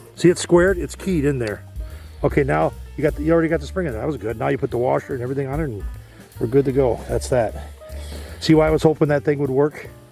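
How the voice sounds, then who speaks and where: A man at a very fast pace with long, frequent pauses and music in the background. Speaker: DIY repair video host. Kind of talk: instructional talk while repairing. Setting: outdoors.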